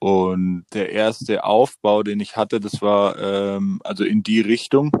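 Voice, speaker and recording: Spoken at a very slow pace with a slight Franconian accent, the voice has a dry, close sound with no echo and a quiet background. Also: man. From Franconia, Fichtelgebirge (Bavaria, Germany). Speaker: bicycle frame designer. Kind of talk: interview.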